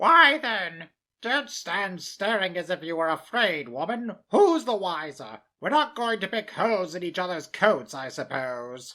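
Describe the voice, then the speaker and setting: In a put-on character voice at a middle pitch, the speaker moves at a moderate pace with hardly any pauses and very wide pitch swings, on a very clean recording with a silent background. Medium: read story. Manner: bold, defiant.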